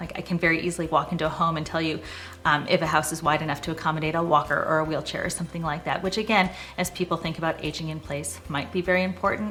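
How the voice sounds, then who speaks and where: A speaker with an American accent talks at a very fast pace with fairly even intonation over noticeable background noise. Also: woman. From Boston area, US Northeast. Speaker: real estate agent. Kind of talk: casual personal introduction to camera. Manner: conversational with frequent 'um' fillers.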